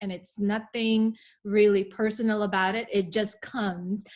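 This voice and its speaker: A woman's fairly slow, medium-pitched speech in a Filipino accent, with fairly even intonation. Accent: Filipino accent, still present. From Philippines. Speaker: wellness podcast co-host. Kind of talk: casual chat.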